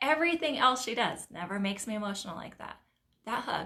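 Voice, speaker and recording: A woman speaks at a fairly quick pace with a fairly high pitch. Her tone is bright and sharp, and her intonation is lively. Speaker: nail technician and business coach. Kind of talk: live stream talk to a group. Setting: live stream. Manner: fast.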